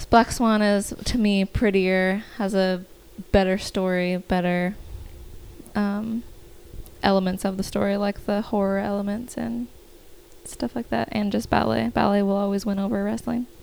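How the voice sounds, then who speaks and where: The speech is broken by long, frequent pauses. Its pace is moderate. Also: woman, medium pitch for a woman, ordinary pitch variation. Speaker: podcast panelist. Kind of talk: casual banter.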